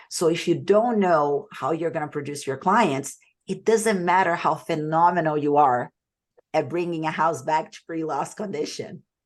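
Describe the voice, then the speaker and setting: A woman with a Portuguese accent speaks at a moderate pace in a very deep, low voice, her loudness swinging widely while her pitch varies in an ordinary way. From Brazil. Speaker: sales coach. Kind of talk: webinar presentation.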